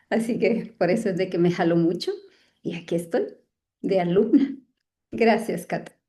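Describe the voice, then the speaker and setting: Somewhat breathy and dark, mellow in tone, a woman at a medium pitch speaks at a fairly slow pace with ordinary pitch variation and long, frequent pauses. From Guatemala. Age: 60s. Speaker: workshop participant, clinical psychologist. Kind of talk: self-introduction.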